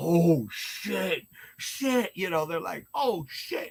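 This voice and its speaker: A man speaks loudly at a very slow pace. His pitch swings very widely. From US, Puerto Rican heritage, inner city. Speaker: drama teacher. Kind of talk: casual chat.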